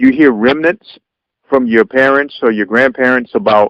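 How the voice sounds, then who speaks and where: Speech moves at a moderate pace. It comes in a plain, everyday voice. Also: man. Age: 40s. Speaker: radio show host. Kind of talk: radio interview, host questions. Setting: phone line.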